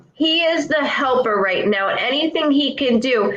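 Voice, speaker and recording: The speaker talks at a moderate pace with ordinary pitch variation. Noticeable background noise can be heard. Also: woman. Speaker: clairvoyant. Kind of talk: psychic reading. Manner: loud; animated.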